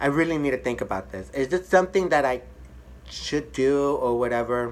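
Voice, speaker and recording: Someone talks at a fairly quick pace with an American accent. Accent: speech of a hearing-impaired person. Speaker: hairstylist. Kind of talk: personal storytelling vlog. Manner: halting, many fillers and repeats; casual.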